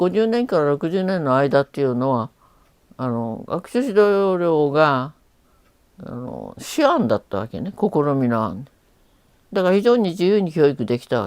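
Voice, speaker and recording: A woman with a very deep, low pitch talks at a moderate pace, her pitch swinging very widely and her loudness rising and falling sharply. The recording is very clean, with a silent background. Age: 80s+. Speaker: retired teacher. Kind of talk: interview answer.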